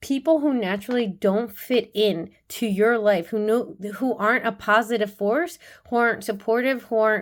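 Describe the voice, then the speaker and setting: A woman speaks at fairly high pitch. The recording is very clean, with a silent background. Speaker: tarot and oracle card reader. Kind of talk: oracle card reading. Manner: fast.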